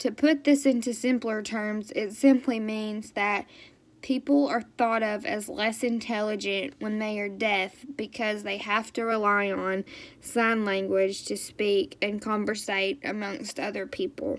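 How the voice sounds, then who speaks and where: A woman speaks at a fairly slow pace. Her pitch is fairly high with ordinary variation. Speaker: student giving a class presentation. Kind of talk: informal presentation. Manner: loud; hesitant with many fillers.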